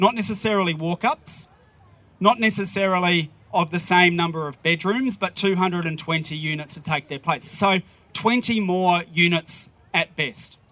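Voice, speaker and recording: A man speaks very slowly with an Australian accent, his pitch high and his tone bright and sharp. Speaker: politician. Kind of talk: rally speech. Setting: outdoors.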